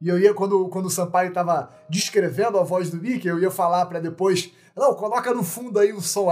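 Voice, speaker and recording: A man's high-pitched, fairly quick speech with hardly any pauses and fairly even intonation, over noticeable background noise. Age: 30s. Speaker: podcast host. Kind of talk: casual chat. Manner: halting, repeats words.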